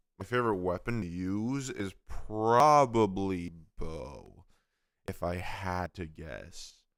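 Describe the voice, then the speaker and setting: In a very clean recording with a silent background, a man with a fairly low pitch speaks very slowly with lively intonation. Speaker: gaming livestreamer. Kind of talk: casual livestream chat. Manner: casual, relaxed.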